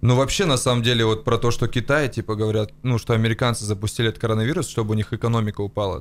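This is a man speaking. His pace is very fast. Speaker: comedy podcast co-host. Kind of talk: casual chat. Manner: crude, profanity-heavy. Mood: joking, informal with swearing. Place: studio. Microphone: studio mic.

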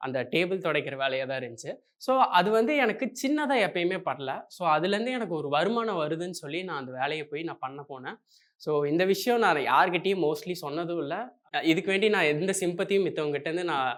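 Lively intonation marks this man's speech, pitched high. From Coimbatore, Tamil Nadu. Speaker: software engineer and YouTuber. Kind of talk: motivational talk.

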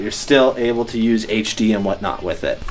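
A man is speaking. Faint music plays in the background behind him. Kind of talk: casual vlog chat. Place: home room.

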